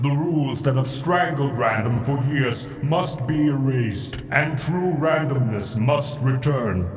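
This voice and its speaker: A man does a put-on character voice at medium pitch, fairly slow and with hardly any pauses. There is a slight echo and clear music in the background. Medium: machinima. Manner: cryptic, solemn.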